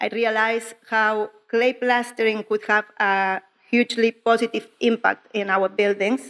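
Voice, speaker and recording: A woman's fairly high voice with a strong Spanish accent, fairly even intonation and a fairly slow pace, in a dry, close sound with no echo. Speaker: clay plasterer. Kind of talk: conference talk. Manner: slow, careful.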